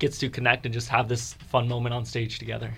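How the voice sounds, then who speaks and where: A man's fairly quick delivery at a medium pitch, with vocal fry. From Fredericksburg, Virginia. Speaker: musical theater actor. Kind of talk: radio interview.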